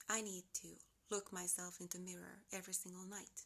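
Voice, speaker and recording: A woman speaks at a moderate pace in a Finnish accent. Her medium pitch comes with monotone, flat intonation. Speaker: lifestyle vlogger. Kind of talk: unedited motivational vlog talk. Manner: casual, unscripted.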